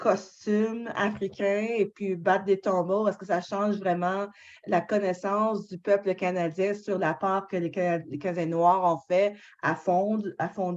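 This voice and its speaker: Very slow pace with monotone, flat intonation. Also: woman. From Canada. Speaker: book club moderator. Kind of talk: moderated discussion.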